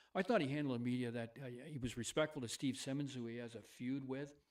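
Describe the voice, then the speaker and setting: A man speaks at a very fast pace. His tone is animated. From Canada. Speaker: hockey podcast co-host. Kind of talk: live casual sports talk. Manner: animated, loud; halting, repetitive.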